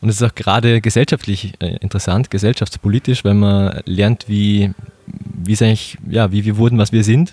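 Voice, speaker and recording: Recorded very cleanly with a silent background and a dry, close sound with no echo, a man uses an ordinary speaking voice, fairly low in pitch, at a moderate pace with very even loudness and fairly even intonation. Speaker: podcast host. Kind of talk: casual interview. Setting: Viennese coffee house.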